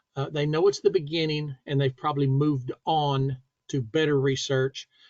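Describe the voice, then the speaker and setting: The man's voice is somewhat breathy and fairly high in pitch. He speaks at a moderate pace, with a dry, close sound and no echo. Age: 60s. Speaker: safety instructor. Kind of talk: tutorial. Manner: casual.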